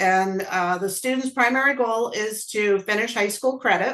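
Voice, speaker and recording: A woman with medium pitch and ordinary pitch variation talks at a moderate pace in an unremarkable speaking voice. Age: 60s. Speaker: college program coordinator. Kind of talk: panel webinar talk.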